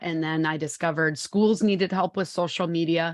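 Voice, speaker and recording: With a Wisconsin accent, a woman speaks at a fairly low pitch with fairly even intonation against a quiet background. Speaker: social media consultant and author. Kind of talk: interview podcast.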